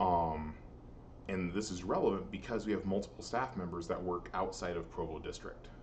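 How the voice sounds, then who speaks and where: This man has a very deep, low pitch and an American accent. His intonation is fairly even, and the room echo is audible. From Missouri. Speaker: high school band director. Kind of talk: recorded presentation to parents. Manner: fast.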